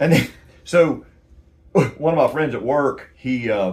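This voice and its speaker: A man speaks with a Southern US accent. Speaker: amateur songwriter and YouTuber. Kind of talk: casual chat. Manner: halting, many fillers.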